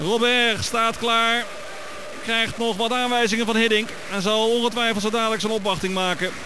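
A man with an extremely high pitch speaks in a raised, projected voice at a moderate pace, his loudness very even and his intonation flat and monotone, over noticeable background noise. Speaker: football commentator. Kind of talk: live football commentary. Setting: stadium match broadcast.

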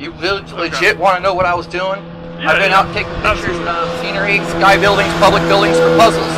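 Loud background noise surrounds the recording. Over it, a man talks at a fairly quick pace. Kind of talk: argumentative street conversation. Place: street. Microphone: phone near.

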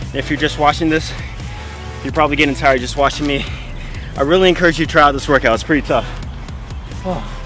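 Over clear music in the background, a man talks at a very fast pace, the sound dry with no echo. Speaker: fitness vlogger. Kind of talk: casual workout tutorial chat. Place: stadium.

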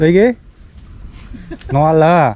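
Slowly and at a fairly high pitch, a man talks. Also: lively intonation.

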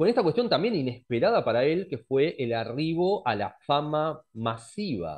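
Over a quiet background, a man speaks with very wide pitch swings. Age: 40s. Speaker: astrologer; presenter. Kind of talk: lecture. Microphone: headset.

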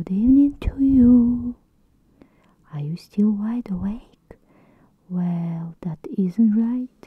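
A soft-spoken voice in a dry sound with no echo and a quiet background. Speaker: storybook reader. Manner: soft, hushed bedtime reading voice. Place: home room. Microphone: phone near.

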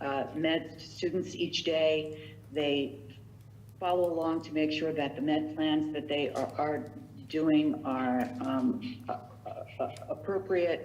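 With audible room echo, a woman speaks at a very slow pace in a very deep, low pitch with ordinary pitch variation. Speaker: director of a visiting nurse agency. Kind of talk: public meeting budget report. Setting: town council meeting. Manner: halting, many fillers and repetitions.

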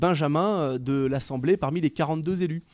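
With ordinary pitch variation, a man talks in a dark, mellow tone over a quiet background. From France, Loire (Saint-Étienne area); France. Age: 30s. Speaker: local politician; local politician guest. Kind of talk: radio interview. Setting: radio studio. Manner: hesitant, with many fillers and repetitions. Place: studio. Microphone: studio mic.

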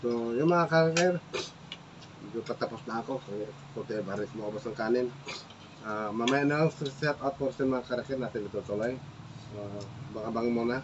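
Over noticeable background noise, the speech moves at a moderate pace with ordinary pitch variation. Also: man, medium pitch for a man. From Philippines. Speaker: cooking vlogger. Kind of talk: casual cooking vlog. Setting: home kitchen. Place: kitchen. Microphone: phone near.

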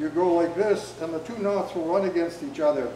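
Over noticeable background noise and audible room echo, a man speaks at a moderate pace. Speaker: workshop instructor. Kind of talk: tutorial demonstration. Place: hall. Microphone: camera far.

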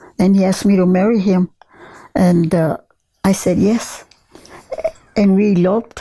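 A woman with a dark, mellow tone and a somewhat breathy voice speaks at a fairly slow pace with ordinary pitch variation over a quiet background. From southern Colorado. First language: Spanish. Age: 80s+. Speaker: retired rancher. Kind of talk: oral history interview answer. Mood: calm reminiscing. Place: home room. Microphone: lapel.

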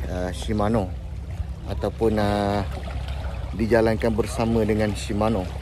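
A man at a fairly slow pace and fairly low pitch, dry sound with no echo, noticeable background noise. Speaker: fishing vlogger. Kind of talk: casual vlog chat. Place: beach. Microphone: phone near.

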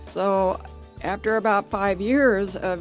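A woman with a medium-pitched voice speaks with music in the background. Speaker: nurse. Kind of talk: testimonial.

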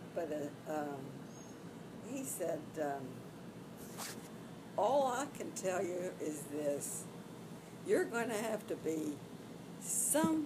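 A woman with an American accent and fairly low pitch, very wide pitch swings, a very slow pace, and long, frequent pauses, over noticeable background noise. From Arkansas, USA. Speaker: retired flight attendant. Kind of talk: interview answer.

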